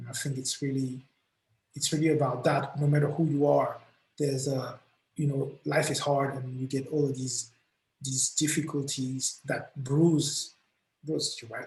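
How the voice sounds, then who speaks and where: This man's voice is fairly high-pitched and somewhat breathy. He speaks in a monotone with flat intonation and a non-native accent. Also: moderate pace. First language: not English. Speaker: musician. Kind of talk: interview. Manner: hesitant, many fillers.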